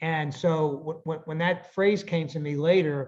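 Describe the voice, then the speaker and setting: A man speaks with an American accent in a fairly high pitch and a somewhat breathy voice. His intonation stays fairly even. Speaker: author. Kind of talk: interview answer.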